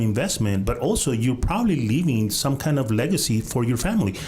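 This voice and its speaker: Audible room echo carries a man's fairly quick speech and lively intonation. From Guatemala. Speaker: real estate podcast host, title business. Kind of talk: casual interview. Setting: studio.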